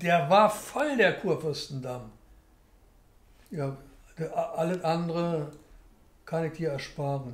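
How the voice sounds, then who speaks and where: A man speaks at a very slow pace with a high pitch. There is audible room echo, and his pauses are long and frequent. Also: ordinary pitch variation. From Berlin. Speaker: documentary interviewee. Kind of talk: interview answer. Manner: casual, chatty. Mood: relaxed, anecdotal storytelling.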